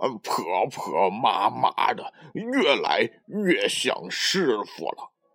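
Someone reads a text aloud. The delivery comes in a natural voice.

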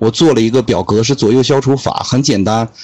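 This man's speech runs at a fairly quick pace with ordinary pitch variation. Music sits in the background. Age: 20s. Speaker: podcaster and guest mentor. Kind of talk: casual interview. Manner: explanatory, lecturing.

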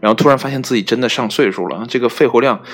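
The speech runs fairly quickly, and its pitch varies in an ordinary way. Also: man. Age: 30s. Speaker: solo podcast host. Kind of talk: casual solo monologue. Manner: hesitant with many fillers.

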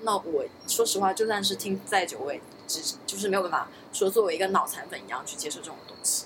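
The speech goes at a very fast pace. Noticeable background noise is present. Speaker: podcast co-host. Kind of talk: casual chat.

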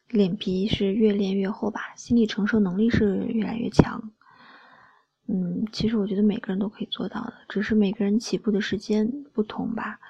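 A woman's gentle tone at a moderate pace, in monotone, flat intonation. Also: fairly high pitch for a woman. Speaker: solo podcast host. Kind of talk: late-night monologue. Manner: soft-spoken, gentle.

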